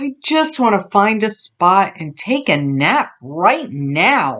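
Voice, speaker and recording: Using a put-on character voice, a woman speaks very slowly at a medium pitch with very wide pitch swings. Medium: read story.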